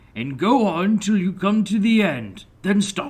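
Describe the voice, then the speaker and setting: A man puts on a character voice, high-pitched for a man, with lively intonation at a fairly slow pace. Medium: read story. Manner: pompous.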